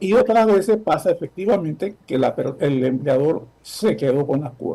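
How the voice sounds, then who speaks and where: With a dark, mellow tone and high pitch, a man talks at a moderate pace using lively intonation. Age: 70s. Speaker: former social security official. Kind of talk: interview.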